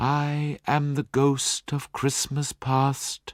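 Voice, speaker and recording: Using a put-on character voice, a soft-spoken man talks at a fairly high pitch and a very slow pace with monotone, flat intonation. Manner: gentle.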